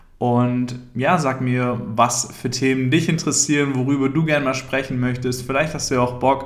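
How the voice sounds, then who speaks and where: A man talks in a flat monotone. An audible room echo surrounds his voice. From Thuringia, Germany (rural village). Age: 30s. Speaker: podcaster. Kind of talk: solo podcast monologue.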